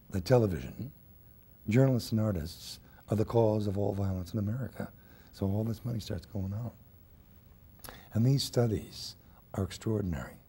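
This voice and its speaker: At a moderate pace, a somewhat breathy man with a fairly low pitch speaks with ordinary pitch variation and long, frequent pauses. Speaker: interview guest, actor. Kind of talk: interview answer. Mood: earnest, building indignation. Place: studio.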